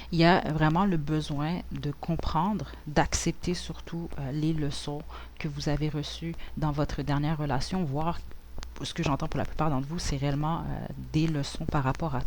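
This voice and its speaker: Room echo can be heard around the voice. The delivery keeps a moderate speed. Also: woman. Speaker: tarot reader. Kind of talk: tarot reading. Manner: relaxed; hesitant, many fillers.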